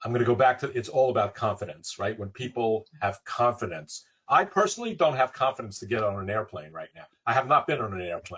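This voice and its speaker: A plain, everyday voice is heard here. The delivery runs fairly quick. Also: man. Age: 60s. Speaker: real estate advisory executive. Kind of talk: webinar panel discussion.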